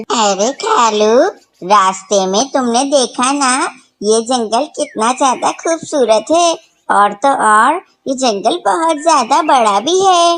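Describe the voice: A female-sounding, cartoonish character voice speaks at a very slow pace in a high pitch.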